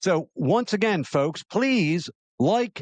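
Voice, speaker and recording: A man with an American accent at a fairly slow pace, in a dry, close sound with no echo. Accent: slight Southern-sounding. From Maryland. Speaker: talk show host. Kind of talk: opinion talk show, reading viewer comments.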